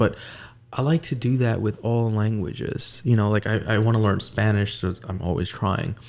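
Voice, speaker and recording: On a very clean recording with a silent background, a man with a Pakistani accent speaks at a fairly low pitch. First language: Urdu. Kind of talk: casual chat.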